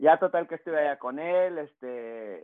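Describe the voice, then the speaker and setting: A man speaks at a fairly slow pace. He has an unremarkable speaking voice with ordinary pitch variation. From Baja California border region (Rosarito, Tijuana) and San Diego. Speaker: youth soccer coach and former pro player. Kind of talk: casual interview. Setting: home office.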